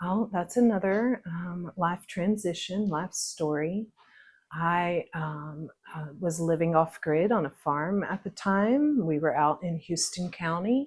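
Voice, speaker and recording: A woman with an American accent speaks very slowly in a fairly low, somewhat breathy voice with ordinary pitch variation. The recording is very clean, with a silent background. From Northeast Texas (East Texas Piney Woods). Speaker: pickle maker interviewed on a local podcast. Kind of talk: casual interview, personal life story. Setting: her home kitchen while canning.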